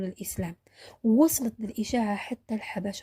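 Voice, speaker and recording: A woman at a moderate pace, with a dry, close sound and no echo. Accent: Algerian. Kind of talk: religious history narration.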